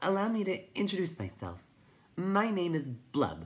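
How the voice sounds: A woman uses a put-on character voice, fairly low in pitch with a slightly husky edge. She speaks at a fairly slow pace with big pitch swings.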